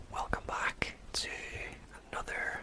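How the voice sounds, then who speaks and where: A man whispering in a gentle tone at a very slow pace, with noticeable background noise. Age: 30s. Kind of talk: ASMR fact narration. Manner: whispered, gentle.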